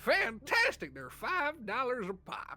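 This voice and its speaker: The speaker uses a put-on character voice at a fairly high pitch and a fairly slow pace. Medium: actual play. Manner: folksy, joking salesman patter.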